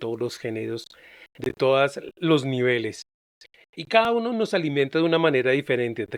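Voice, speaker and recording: A man speaks in an ordinary speaking voice, pitched fairly high with lively intonation. The sound is dry and close, with no echo. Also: quiet background. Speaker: podcast host. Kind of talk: podcast introduction.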